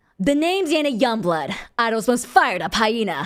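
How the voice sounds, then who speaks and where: A put-on, female-sounding character voice, growling at a fairly quick pace in a fairly high pitch with very wide pitch swings, in a very clean recording with a silent background. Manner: energetic, bossy.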